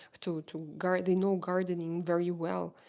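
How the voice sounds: A woman with a Russian accent, fairly low in pitch, monotone and flat in intonation, at a fairly slow pace.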